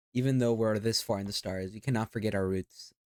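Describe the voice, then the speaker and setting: A man with a non-native accent, moderate in pace and fairly even in intonation, on a very clean recording with a silent background and a dry, close sound with no echo. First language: not English. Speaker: vtuber reacting to videos. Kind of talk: reaction commentary.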